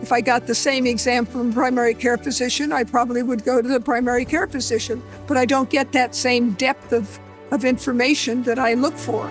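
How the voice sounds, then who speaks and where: A woman's high-pitched voice at a fairly quick pace, with fairly even intonation and very even loudness, over music in the background. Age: 80s+. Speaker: healthcare patient. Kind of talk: testimonial interview answer.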